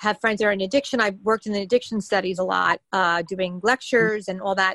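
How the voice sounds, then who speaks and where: A woman at a medium pitch talks very fast with fairly even intonation, the sound dry and close with no echo. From New York City. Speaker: stand-up comedian and mayoral candidate. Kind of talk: casual interview.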